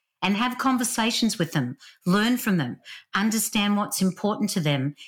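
A woman with a strong Australian accent speaks with lively intonation and a somewhat breathy sound. The recording is very clean, with a silent background. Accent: Australian, still strong. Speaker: author and leadership speaker. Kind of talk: casual interview chat.

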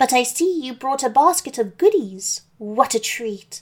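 This woman uses a put-on character voice, high-pitched, at a moderate pace. The recording is very clean and the background silent. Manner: sweet, feigning.

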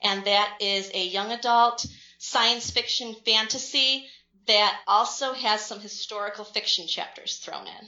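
A woman with a normal speaking voice, medium pitch, fairly even intonation and a fairly slow pace, in an American accent. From central New York. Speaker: author. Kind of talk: casual interview.

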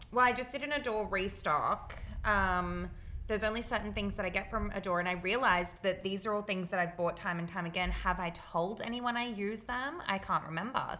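Speaking fairly quickly with an Australian accent, a woman with a medium-pitched, bright, sharp tone shows ordinary pitch variation. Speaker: podcast co-host. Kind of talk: casual chat.

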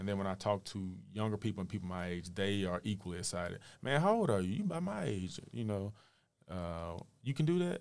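On a very clean recording with a silent background, a man with a fairly low pitch and ordinary pitch variation speaks in a normal speaking voice at a fairly quick pace. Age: 30s. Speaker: local politician. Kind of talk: casual interview.

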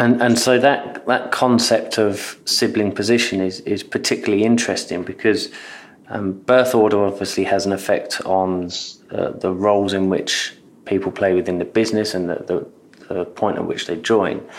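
With a British accent, a man talks at a moderate pace. His pitch is fairly low and his intonation fairly even. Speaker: podcast host. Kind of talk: interview, conversational.

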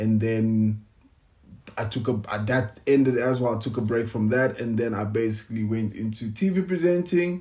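A somewhat breathy man at a medium pitch, with lively intonation and a moderate pace. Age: 30s. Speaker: podcast co-host, TV presenter, actor and musician. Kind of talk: casual chat. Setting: home recording with lapel mics.

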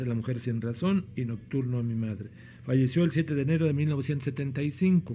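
A man with a dark, mellow tone talks somewhat breathily at a medium pitch, with ordinary pitch variation. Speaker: podcast host. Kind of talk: casual podcast hosting with introductions. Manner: halting, with fillers and repetitions.

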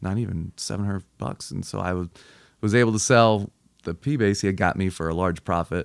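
A man with a very deep, low pitch speaks with ordinary pitch variation in a very clean recording with a silent background. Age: 30s. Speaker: musician and cider maker. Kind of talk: casual chat.

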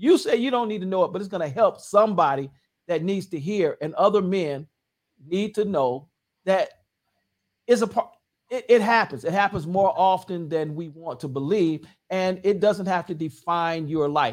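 A high-pitched man talks at a moderate pace with ordinary pitch variation in a very clean recording with a silent background. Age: 60s. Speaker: pastor. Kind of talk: casual chat. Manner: halting.

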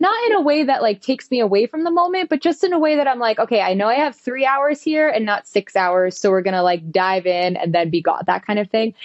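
A woman with an American accent talks at a very fast pace with hardly any pauses, her pitch swinging very widely. Her tone is energetic and her loudness very even, with noticeable background noise behind her. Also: fairly high pitch for a woman. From western New Jersey, US. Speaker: performer and fitness instructor. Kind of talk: casual interview.

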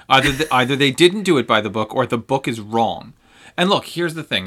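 Bright, sharp, animated male voice at medium pitch with lively intonation, on a very clean recording with a silent background. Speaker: co-host. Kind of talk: casual chat. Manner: sarcastic, animated.

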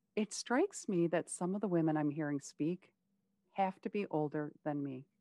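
An ordinary speaking voice from a woman, fairly low in pitch with ordinary pitch variation, at a moderate pace, in a dry, close sound with no echo and a quiet background. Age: 50s. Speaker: podcast host. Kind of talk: casual interview chat.

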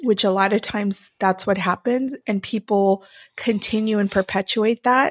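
A woman talks at a fairly slow pace with an animated tone and a medium pitch. The sound is dry and close, with no echo. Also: very clean recording, silent background. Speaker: podcast co-host, former social services worker. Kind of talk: casual chat. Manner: animated, laughs often.

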